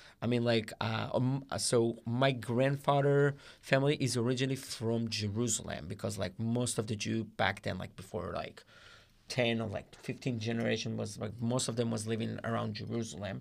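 With an Israeli accent, a man speaks using fairly even intonation. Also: medium pitch for a man, moderate pace. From Israel, Rehovot. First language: Hebrew. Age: 20s. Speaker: guest volunteer. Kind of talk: casual chat.

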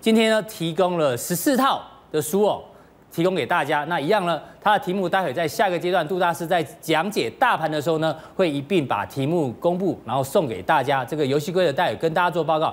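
A man's high voice with a Taiwanese accent, fairly quick and with ordinary pitch variation. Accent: Taiwanese Mandarin. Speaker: TV finance show host. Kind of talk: TV talk show hosting. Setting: TV studio.

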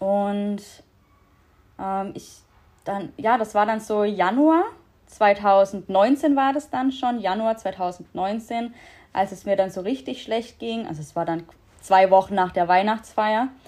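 Very slow speech from a woman at a medium pitch, with ordinary pitch variation and long, frequent pauses, on a very clean recording with a silent background. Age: 20s. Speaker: podcast guest sharing mental health story. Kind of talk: personal testimony in casual interview.

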